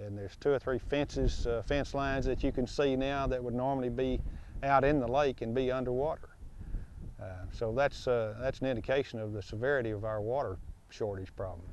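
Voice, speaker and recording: A man with an American accent talks in an ordinary speaking voice at a medium pitch and a fairly quick pace, with fairly even intonation. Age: 60s. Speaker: cattle and hay farmer. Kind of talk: interview. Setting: outdoors.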